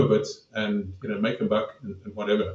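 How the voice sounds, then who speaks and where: A man talks at a fairly quick pace with fairly even intonation. His tone is dark and mellow and somewhat breathy. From South Africa. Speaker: podcast host. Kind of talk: podcast interview.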